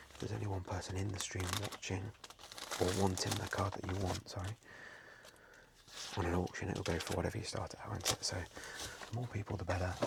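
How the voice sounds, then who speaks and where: The speaker is soft-spoken and talks at a fairly quick pace, with long, frequent pauses. Noticeable background noise runs underneath. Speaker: online card seller and streamer. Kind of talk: softly spoken ASMR talk.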